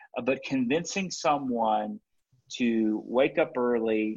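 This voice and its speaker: An ordinary speaking voice that rises and falls in pitch in the usual way. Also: man. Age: 30s. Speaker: pastor and church planter. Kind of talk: interview conversation.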